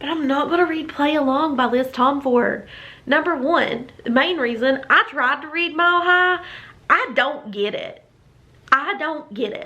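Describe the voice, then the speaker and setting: A woman's raised, projected voice, high-pitched with a bright, sharp tone at a moderate pace. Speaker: book reviewer. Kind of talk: casual talk to camera. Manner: chatty, opinionated.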